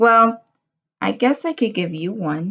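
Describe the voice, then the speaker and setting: A woman uses a put-on character voice with a fairly high pitch. She speaks at a fairly slow pace with very wide pitch swings. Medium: read story. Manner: gruff.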